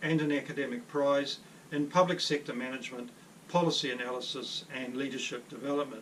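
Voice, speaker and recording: The speaker talks at a fairly quick pace with ordinary pitch variation. Noticeable background noise can be heard. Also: man. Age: 60s. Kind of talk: personal testimony. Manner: formal.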